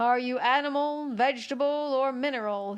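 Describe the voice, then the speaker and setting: A woman uses a put-on character voice pitched high. She talks at a fairly quick pace. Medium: read story. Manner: weary, yawning.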